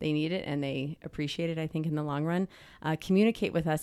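Very fast speech on a very clean recording with a silent background. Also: woman. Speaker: high school dean of women. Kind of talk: casual chat. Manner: fast talker.

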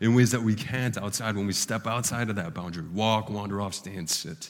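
This man has a normal speaking voice. He talks at a moderate pace. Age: 30s. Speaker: pastor. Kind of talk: sermon. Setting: church.

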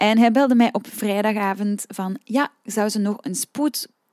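A woman with a Flemish accent, in a dry, close sound with no echo. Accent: Flemish Dutch. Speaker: singing teacher and podcast host. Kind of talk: solo podcast talk. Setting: room with open windows. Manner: calm, relaxed.

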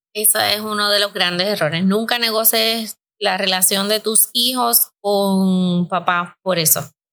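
At a fairly slow pace, a woman speaks at a medium pitch with a bright, sharp tone. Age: 50s. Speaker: podcast host and life coach. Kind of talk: casual chat.

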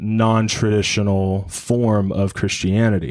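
Speaking at a very slow pace, a man uses a fairly low pitch and fairly even intonation. The recording is very clean, with a silent background. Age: 30s. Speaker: young adult ministry leader. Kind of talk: casual panel discussion.

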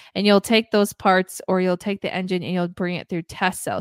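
A woman's unremarkable speaking voice of medium pitch at a fairly quick pace, in a very clean recording with a silent background and a dry, close sound with no echo. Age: 20s. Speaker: podcast host. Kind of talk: casual chat.

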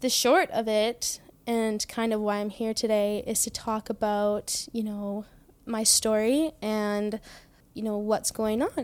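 On a very clean recording with a silent background, a woman with a Canadian accent speaks very slowly at a fairly high pitch with fairly even intonation. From British Columbia, Canada. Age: 20s. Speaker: assault survivor. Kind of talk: personal testimony interview. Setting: host's home.

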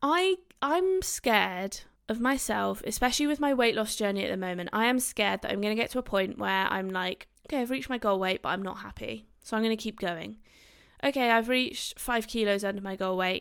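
In a British accent, a woman talks at a fairly quick pace with a fairly high pitch and lively intonation on a very clean recording with a silent background. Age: 20s. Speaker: doctor and podcast host. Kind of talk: casual solo podcast talk. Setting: recording on camera.

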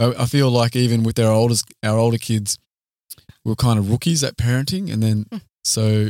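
With an Australian accent, a man speaks at a moderate pace in a medium pitch and dark, mellow tone, his intonation fairly even and loudness very even, the sound dry and close with no echo. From Australia, Queanbeyan/Canberra area. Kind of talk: casual interview chat.

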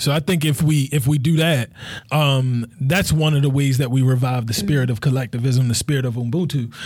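A somewhat breathy man with an American accent, medium pitch, fairly even intonation, very even loudness and a fairly quick pace. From Baltimore, Maryland (Cherry Hill, South Baltimore). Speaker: podcast director and community organizer. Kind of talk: casual chat.

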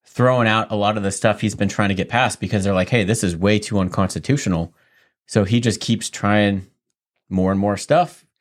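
In a very clean recording with a silent background, a man speaks at a moderate pace with a fairly low pitch and ordinary variation. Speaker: podcast host. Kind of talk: casual podcast chat.

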